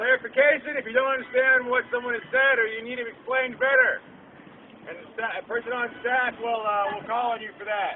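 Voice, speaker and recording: A man's extremely high voice at a fairly quick pace, with fairly even intonation, big swings in loudness, and noticeable background noise. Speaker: meeting facilitator. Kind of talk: public meeting facilitation. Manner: halting.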